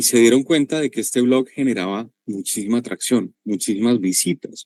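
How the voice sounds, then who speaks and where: A man with a Colombian accent speaks at a moderate pace in a medium pitch, his dark, mellow tone showing ordinary pitch variation in a dry, close sound with no echo. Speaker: sales and marketing expert, workshop presenter. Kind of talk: online workshop presentation.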